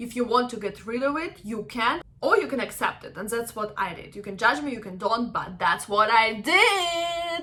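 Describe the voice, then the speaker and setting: Upbeat in tone, a woman speaks at a moderate pace with a fairly high pitch, very wide pitch swings, big swings in loudness, and hardly any pauses over noticeable background noise. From Ukraine. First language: Russian and Ukrainian. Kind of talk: casual talk to camera. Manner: upbeat, chatty.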